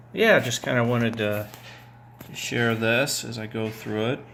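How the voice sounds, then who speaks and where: Audible room echo on a man's fairly low-pitched voice, moving at a moderate speed. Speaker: toy collector. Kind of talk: casual video update. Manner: hesitant, many fillers. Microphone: some audio issues.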